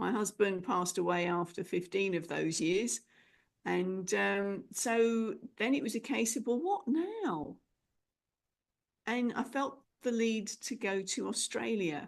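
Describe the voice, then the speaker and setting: A woman speaks at a very slow pace with a medium pitch and ordinary pitch variation. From England. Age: 50s. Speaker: speaker coach and speech pathologist. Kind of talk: interview, personal story.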